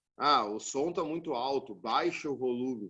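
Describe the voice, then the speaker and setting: Using a normal speaking voice, a man talks at a moderate pace in a fairly high pitch. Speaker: physics teacher. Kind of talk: lecture.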